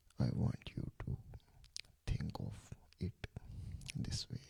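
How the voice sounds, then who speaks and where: The speaker is whispering in a gentle tone. The pace is very slow. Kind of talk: ASMR sleep relaxation talk, soft-spoken guidance. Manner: soft-spoken, gentle, lo-fi whisper.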